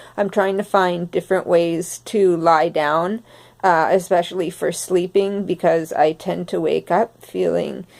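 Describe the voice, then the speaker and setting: On a very clean recording with a silent background, a woman with fairly low pitch speaks at a fairly slow pace in monotone, flat intonation. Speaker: vlogger sharing health experience. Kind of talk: personal testimony. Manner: slowed speech; halting, many fillers.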